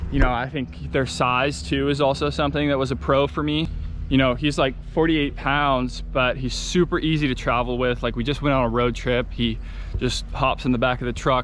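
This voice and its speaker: With light background noise and a dry sound with no echo, a man speaks at a moderate pace. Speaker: dog owner vlogger. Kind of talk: casual vlog chat. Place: farm machine. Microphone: phone near.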